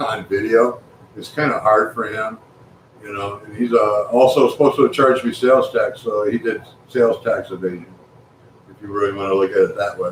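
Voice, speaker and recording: Fairly quick speech from a man, with noticeable background noise behind it. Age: 60s. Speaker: amateur astronomer and builder. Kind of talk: live stream chat.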